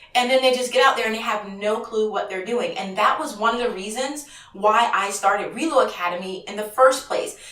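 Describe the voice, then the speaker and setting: The delivery is animated and fairly quick, with hardly any pauses and ordinary pitch variation. Music plays in the background, and the room echo is audible. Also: woman, fairly high pitch for a woman. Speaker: auto transport broker trainer and vlogger. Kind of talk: casual vlog talk to camera. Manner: fast.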